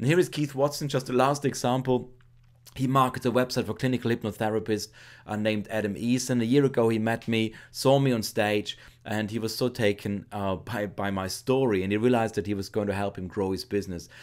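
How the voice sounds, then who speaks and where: On a very clean recording with a silent background, a speaker with a German accent talks at a fairly quick pace with ordinary pitch variation. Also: man, medium pitch for a man. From Austria. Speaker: internet marketer. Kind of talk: sales pitch.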